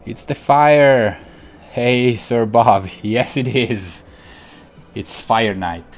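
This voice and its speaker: With music in the background, a man speaks very slowly in an Italian accent, using long, frequent pauses, a medium pitch and ordinary pitch variation. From Italy, Piedmont countryside near Turin. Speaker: digital painter, live streamer. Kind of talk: live stream chat while painting. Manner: hesitant, many fillers.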